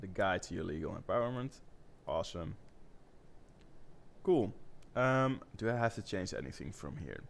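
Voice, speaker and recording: A man with a non-native accent speaks at a moderate pace with very wide pitch swings and long, frequent pauses. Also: medium pitch for a man. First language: not English. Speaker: web designer. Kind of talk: live-streamed design session.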